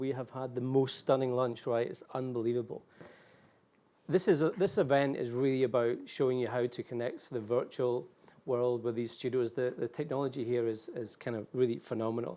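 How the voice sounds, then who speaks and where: With a Scottish accent, a man speaks at a fairly quick pace in a dark, mellow tone, keeping a medium pitch and fairly even intonation. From Scotland. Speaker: event moderator. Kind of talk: live event hosting. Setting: hotel suite event studio.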